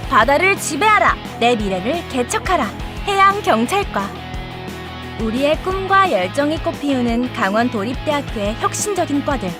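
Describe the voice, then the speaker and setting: A woman speaks in an upbeat tone at a high pitch, her voice raised and projected with very wide pitch swings. She keeps a fairly slow pace over music in the background. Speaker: voice actor. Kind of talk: university promotional video narration. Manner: upbeat, bright.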